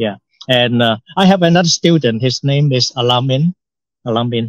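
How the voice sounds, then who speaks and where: A man with a Hong Kong accent speaks at a medium pitch and a moderate pace. His intonation is lively, and the sound is dry and close, with no echo. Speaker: English teacher. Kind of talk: casual podcast conversation. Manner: halting, many repetitions and fillers.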